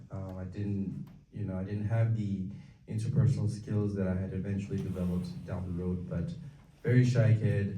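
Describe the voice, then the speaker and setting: In a room with audible echo, a man with a Tibetan accent speaks at a moderate pace in a fairly low, somewhat breathy voice with a dark, mellow tone. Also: ordinary pitch variation. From Tibetan community, raised in Minnesota from age 9. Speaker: community speaker. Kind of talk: talk to an audience. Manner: halting, many fillers.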